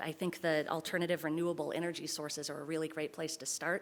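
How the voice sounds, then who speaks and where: Delivered at a very fast pace with hardly any pauses, the voice stays monotone and flat. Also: woman. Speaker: council seat applicant. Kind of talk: public comment statement.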